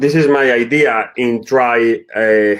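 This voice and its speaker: Fairly even intonation runs through a man's speech, delivered in a Spanish accent. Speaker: football director. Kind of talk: presentation. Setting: online webinar. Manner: halting, non-fluent English.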